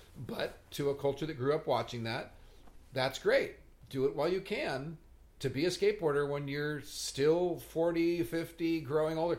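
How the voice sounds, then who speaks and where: Pitch varies in an ordinary way while the delivery keeps a moderate pace. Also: man, fairly high pitch for a man. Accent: American. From Southern California. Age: 60s. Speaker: podcast host and skateboarder. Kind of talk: casual chat. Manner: animated.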